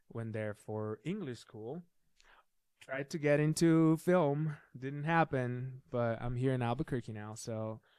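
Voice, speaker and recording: A man speaks in a Brazilian accent. His pitch variation is ordinary. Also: medium pitch for a man, fairly slow pace. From southern Brazil, Curitiba. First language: Portuguese. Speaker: filmmaker. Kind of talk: casual interview chat.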